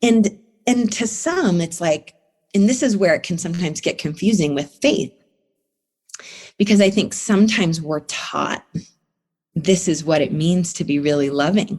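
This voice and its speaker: With lively intonation and a somewhat breathy voice, a woman speaks at a moderate pace, leaving long, frequent pauses. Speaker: therapist. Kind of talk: interview answer.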